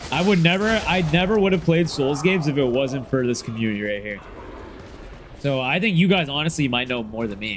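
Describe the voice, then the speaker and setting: Loud and fairly quick, a man talks at a fairly high pitch with very wide pitch swings, over noticeable background noise and audible room echo. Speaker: gaming streamer. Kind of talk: casual livestream chat.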